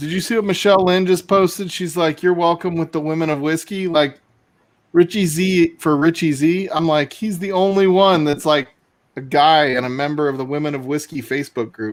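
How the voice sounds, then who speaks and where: In a very clean recording with a silent background, a man speaks at a fairly quick pace. He has an unremarkable speaking voice, fairly high for a man, with ordinary pitch variation. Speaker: livestream guest. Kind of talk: casual chat.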